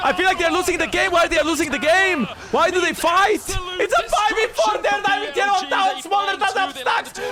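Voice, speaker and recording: A man shouts in an extremely high, animated voice with ordinary pitch variation. He keeps a moderate pace with hardly any pauses, over noticeable background noise. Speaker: streamer reacting to esports match. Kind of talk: live watch-along commentary. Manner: animated, exclaiming; loud, yelling.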